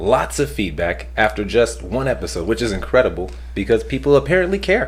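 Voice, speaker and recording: Man talking at a fairly quick pace over noticeable background noise. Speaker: podcast host. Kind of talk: casual chat. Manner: fast.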